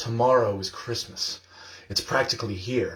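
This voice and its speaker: Putting on a growling character voice, a man speaks at a moderate pace and medium pitch with fairly even intonation. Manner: snarling, sneering.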